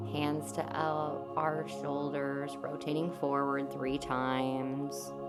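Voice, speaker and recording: With music in the background, a woman speaks in a calm tone at a very slow pace. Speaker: yoga instructor. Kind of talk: guided yoga class instruction. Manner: calm, slow.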